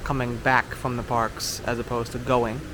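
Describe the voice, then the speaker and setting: Amid noticeable background noise and audible room echo, a man with an American accent talks at a moderate pace. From New York. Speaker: travel vlogger. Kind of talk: casual vlog narration. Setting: hotel hallway then outdoors at boat dock.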